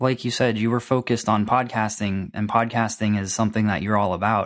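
With an American accent, a man talks at a moderate pace in a normal speaking voice, medium in pitch, with ordinary pitch variation. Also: very clean recording, silent background. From Florida. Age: 20s. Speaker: podcaster and internet marketer. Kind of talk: casual chat.

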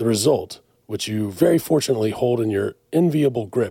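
A man's somewhat breathy, dark and mellow voice at medium pitch, with lively intonation and a moderate pace. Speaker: distillery manager. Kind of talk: casual chat.

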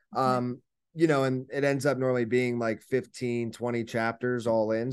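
In an unremarkable speaking voice, a man keeps a medium pitch, fairly even intonation and a moderate pace against a quiet background. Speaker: author and book publisher. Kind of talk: interview.

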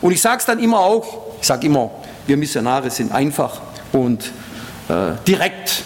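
With noticeable background noise and audible room echo, a man speaks in an animated tone at a moderate pace, his pitch swinging very widely. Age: old. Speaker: preacher and missionary. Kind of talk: sermon. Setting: church service with congregation.

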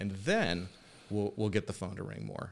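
A man with an American accent talks at a moderate pace in a plain, everyday voice, pitched fairly low. The recording is very clean, with a silent background. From US, military family (various places). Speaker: digital marketing agency owner. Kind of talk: casual interview.

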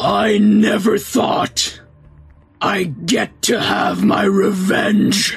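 A man puts on a raspy, menacing character voice pitched high for a man, speaking very slowly over faint background music. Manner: vengeful, menacing.

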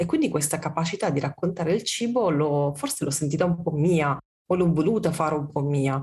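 A woman's very deep, low, somewhat breathy voice at very even loudness. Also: ordinary pitch variation, fairly quick pace. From southern Italy, Amalfi Coast. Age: 40s. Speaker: food writer and communication consultant. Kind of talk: interview conversation.

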